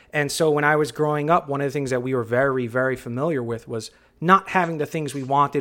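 Over a very clean recording with a silent background, a man with an ordinary speaking voice talks at a fairly quick pace, with a medium pitch and fairly even intonation. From New York City, the Bronx. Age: 30s. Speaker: podcast host. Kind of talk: casual chat.

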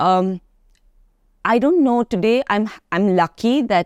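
Speaking at a very slow pace with lively intonation, a woman is heard in a dry, close sound with no echo on a very clean recording with a silent background. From India, Karnataka coast, various cities. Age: 40s. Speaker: fitness trainer and entrepreneur. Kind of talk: interview conversation.

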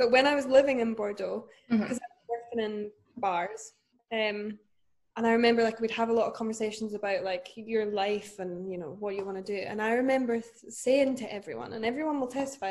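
A woman with a fairly high pitch in a Scottish accent, at a very fast pace. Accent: Scottish (Fife). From Scotland, Dunfermline. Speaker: entrepreneur and podcast co-host. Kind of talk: casual chat.

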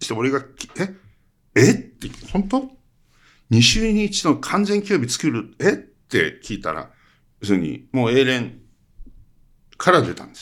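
A man talks with long, frequent pauses. His pitch swings very widely and his loudness rises and falls sharply. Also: very clean recording, silent background. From Hokkaido, Iwamizawa. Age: 70s. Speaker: cinematographer. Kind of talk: interview.

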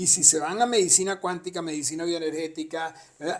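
Using a normal speaking voice, a man talks at a moderate pace and a fairly high pitch. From abroad, not Argentina. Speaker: podcast co-host, father of co-host. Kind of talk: casual chat.

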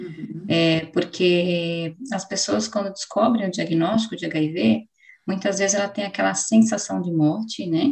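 A somewhat breathy woman at a fairly slow pace. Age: 30s. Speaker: psychologist. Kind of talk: interview.

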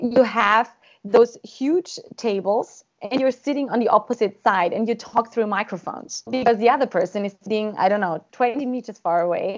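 With a German accent, the speaker talks with ordinary pitch variation and hardly any pauses. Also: woman, fairly high pitch for a woman, moderate pace. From Austria. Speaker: government negotiator. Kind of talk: interview.

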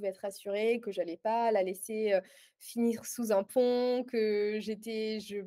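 A woman speaks at a fairly high pitch with a dark, mellow tone. Her pace is fairly slow and her intonation fairly even. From southern France, Aix-en-Provence. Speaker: life coach. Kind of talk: interview. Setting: in person.

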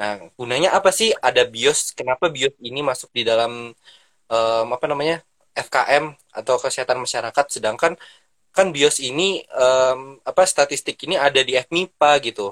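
A man's medium-pitched voice at a moderate pace, ordinary pitch variation, dry and close with no echo. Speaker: public health student. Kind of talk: casual panel talk in an online live session. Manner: hesitant, many fillers.

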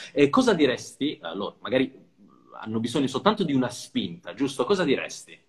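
A man's somewhat breathy, fairly high voice at a fairly quick pace, with very wide pitch swings. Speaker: podcast host. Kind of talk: interview.

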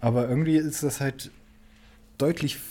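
A man speaks with ordinary pitch variation. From Saxony, Germany. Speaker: podcast co-host, university student. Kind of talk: casual chat. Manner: halting, many fillers.

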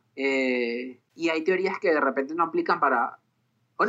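Fairly quick and fairly high in pitch, the man's voice has a bright, sharp tone. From Venezuela. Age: 30s. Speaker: psychologist and musician. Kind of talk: interview. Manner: halting.

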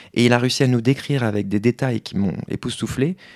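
The recording is very clean with a silent background. A man speaks at a medium pitch and a moderate pace in an unremarkable speaking voice with ordinary pitch variation. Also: dry, close sound with no echo. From France. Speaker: human design practitioner. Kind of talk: interview.

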